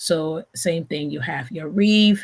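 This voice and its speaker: At a moderate pace, a woman with a fairly low pitch and a bright, sharp tone speaks with lively intonation over a very clean recording with a silent background. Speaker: event planner and designer. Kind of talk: live stream tutorial. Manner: halting, many fillers.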